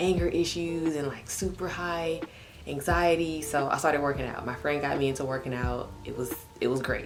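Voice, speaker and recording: A woman with an American accent speaks at a moderate pace in a very deep, low pitch with ordinary pitch variation. Noticeable background noise and audible room echo are present. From Texas, Houston. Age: 20s. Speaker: vlogger. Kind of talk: casual vlog monologue. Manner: casual, conversational.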